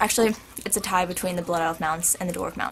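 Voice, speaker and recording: A woman's voice over noticeable background noise. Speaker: video blogger. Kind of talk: casual Q&A vlog. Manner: animated.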